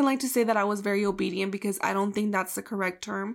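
Very fast delivery with fairly even intonation on a very clean recording against a silent background. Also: woman. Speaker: podcast co-host. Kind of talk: casual chat.

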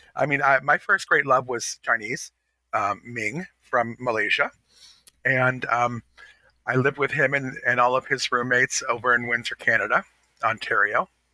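The voice has a bright, sharp tone and ordinary pitch variation at a moderate pace. The sound is dry and close with no echo. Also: man, medium pitch for a man. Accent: American. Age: 50s. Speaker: fashion podcast co-host. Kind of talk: casual chat.

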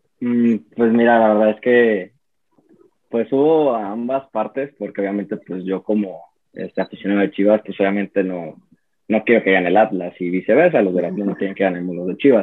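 The pace is moderate. It is a normal speaking voice, and its pitch varies in an ordinary way. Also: man, fairly low pitch for a man. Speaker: football fan. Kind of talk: casual chat.

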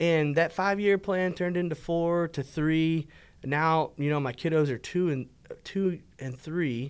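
A man with an American accent talks in a plain, everyday voice at a fairly slow pace. His intonation stays fairly even on a very clean recording with a silent background. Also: fairly high pitch for a man. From Texas, Fort Worth. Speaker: podcast co-host. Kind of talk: casual chat.

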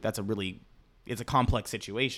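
Delivered at a very fast pace with fairly even intonation, the speech sits on a very clean recording with a silent background. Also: man. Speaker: guest friend. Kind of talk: casual chat between friends.

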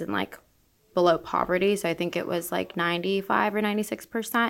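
In a very clean recording with a silent background, a woman with an American accent talks at a fairly quick pace in a plain, everyday voice, fairly low in pitch with ordinary pitch variation. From Orlando, Florida. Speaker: real estate broker. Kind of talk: interview.

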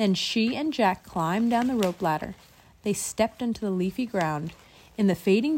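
A text is read aloud. The reading is plain.

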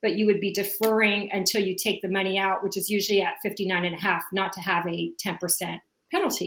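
A woman with a medium pitch and a bright, sharp tone speaks at a moderate pace with ordinary pitch variation. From South America. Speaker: financial advisor. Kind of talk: interview.

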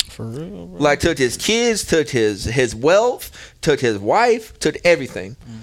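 The voice carries an American accent and vocal fry. Its pitch swings very widely. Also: man. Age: 20s. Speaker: podcast host. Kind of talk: casual chat. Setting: studio.

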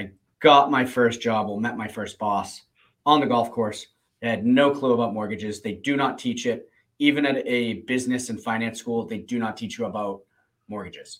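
A man with a medium-pitched voice, moderate pace, an unremarkable speaking voice and an American accent. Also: fairly even intonation. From Plymouth, Massachusetts. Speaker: mortgage professional and podcast co-host. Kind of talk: casual chat.

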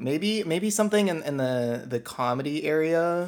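Here is a man with an ordinary speaking voice. He talks at a moderate pace with lively intonation. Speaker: software engineer, interviewee. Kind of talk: casual interview.

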